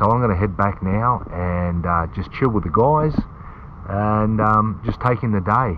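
A man talks with ordinary pitch variation and at a fairly slow pace while noticeable background noise runs behind him. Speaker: bodyboarding vlogger. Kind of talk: casual vlog chat. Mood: relaxed, self-deprecating. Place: car. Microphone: phone near.

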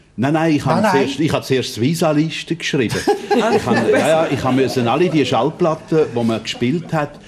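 Over loud background noise, a man speaks at a moderate pace with lively intonation and very even loudness. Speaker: former radio announcer and broadcasting executive. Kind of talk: TV talk show guest. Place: studio.

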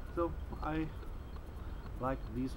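Noticeable background noise surrounds a man speaking with a German accent. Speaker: bushcraft youtuber. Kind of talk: casual outdoor gear tutorial. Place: garden.

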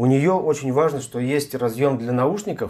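Over a quiet background, the man speaks with ordinary pitch variation at a moderate pace. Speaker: tech reviewer. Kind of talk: unboxing tutorial. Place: home room. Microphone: lapel.

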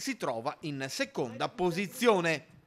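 With an energetic tone, a man talks at a fairly slow pace while his pitch swings very widely. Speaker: sports video narrator. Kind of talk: race commentary recap. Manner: brisk, energetic, steady narration.

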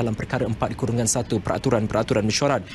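A man speaks with fairly even intonation. Light background noise can be heard. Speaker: TV news reporter. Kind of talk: news report. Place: office. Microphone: handheld.

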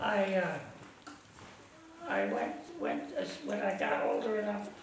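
With an American accent, a man talks at a very slow pace, with light background noise and audible room echo. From Ohio. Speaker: war veteran. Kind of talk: interview answer. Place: home room.

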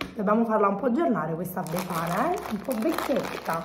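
Against noticeable background noise, a woman speaks in an animated tone. Her medium pitch follows lively intonation. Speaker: vlogger. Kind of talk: casual chat. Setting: shopping mall.

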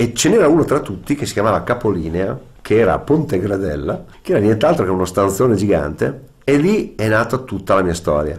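A man talks at a fairly quick pace in a normal speaking voice, with lively intonation. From Ferrara, Emilia-Romagna, Italy; Emilia-Romagna, Italy. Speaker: musician and showman. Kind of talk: interview. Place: studio.

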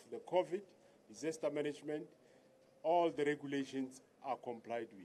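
A man speaks at a moderate pace. His tone is dark and mellow, with ordinary pitch variation. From South Africa. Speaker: senior police officer. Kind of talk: public speech. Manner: halting. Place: street. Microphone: podium.

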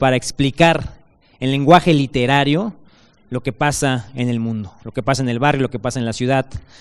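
A man at a moderate pace, ordinary pitch variation, quiet background. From Mexico. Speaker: author presenting his book; book author on a panel. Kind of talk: speaker introduction; panel talk at a book presentation. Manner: halting. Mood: warm, friendly praise. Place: stage. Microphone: handheld.

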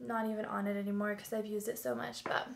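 A woman speaks over light background noise. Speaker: beauty vlogger. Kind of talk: casual talk to camera. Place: home room. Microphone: webcam.

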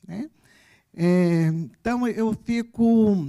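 A woman speaks against a quiet background. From Brazil. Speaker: campus director; speaker, professor. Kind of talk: ceremonial speech. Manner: halting, many fillers. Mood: warm, emotional. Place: stage. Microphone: handheld.

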